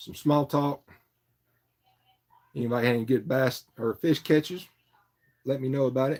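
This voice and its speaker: With an Appalachian accent, a man talks at a moderate pace with fairly even intonation and long, frequent pauses. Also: medium pitch for a man. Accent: Southern US (Appalachian foothills). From North Carolina, Morganton foothills. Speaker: fishing livestreamer. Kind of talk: casual livestream chat. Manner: relaxed, filler-heavy.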